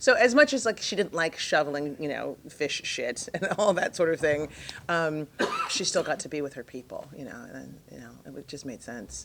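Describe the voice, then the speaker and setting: The loudness swings widely at a moderate pace. Background noise is noticeable. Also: woman. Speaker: actress. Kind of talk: interview. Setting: fan convention. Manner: hesitant, many fillers.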